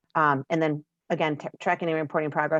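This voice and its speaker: Talking at a fairly quick pace, a woman with a very deep, low voice comes through dry and close with no echo. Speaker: network consultant. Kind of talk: virtual meeting presentation. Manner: fast.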